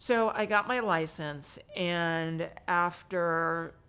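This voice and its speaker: In a very clean recording with a silent background, a woman with a fairly low pitch speaks in an American accent. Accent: lacks a New York. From New York City, Manhattan. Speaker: real estate agent. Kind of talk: casual interview. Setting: in person at a conference.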